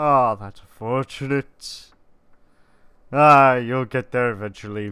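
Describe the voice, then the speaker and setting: The recording is very clean, with a silent background. A man with a bright, sharp tone and medium pitch talks at a very slow pace with fairly even intonation. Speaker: gaming video creator. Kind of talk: let's play commentary.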